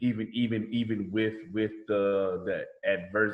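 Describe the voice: With a Southern US accent, a man talks at a fairly slow pace. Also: fairly low pitch for a man, fairly even intonation.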